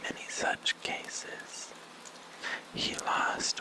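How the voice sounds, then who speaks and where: Someone whispers. There is noticeable background noise. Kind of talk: ASMR bedtime story reading with commentary. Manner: whispered.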